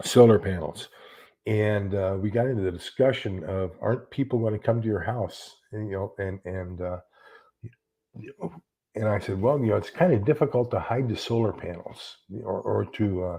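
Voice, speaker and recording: Fairly low in pitch with a dark, mellow tone, a man speaks in an American accent, somewhat breathy. His pace is moderate with ordinary pitch variation, and the background is quiet. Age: 70s. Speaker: YouTuber talking about prepping and books. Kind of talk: casual livestream chat. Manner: halting, with many repeated words.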